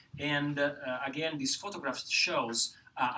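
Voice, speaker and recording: A man with an Italian accent speaks over noticeable background noise. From Italy. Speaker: professor. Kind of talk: panel presentation. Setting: lecture hall with audience. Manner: halting, many fillers.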